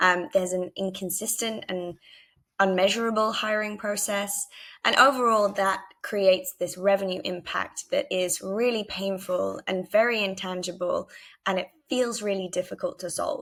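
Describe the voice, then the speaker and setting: At a moderate pace, a woman with a British accent speaks at a medium pitch with fairly even intonation. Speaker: head of marketing at a tech startup. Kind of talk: conference presentation with product demo. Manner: frequent filler ums.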